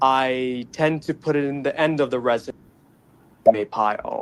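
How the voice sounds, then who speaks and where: A fairly high-pitched man with an American accent. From Middle East (Dubai), American schooling. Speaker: caller. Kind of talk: call-in debate on a talk show.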